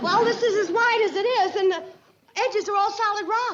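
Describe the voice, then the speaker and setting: Putting on a squeaky character voice, a woman speaks at an extremely high pitch and a fairly quick pace. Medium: short film. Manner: dry, wry.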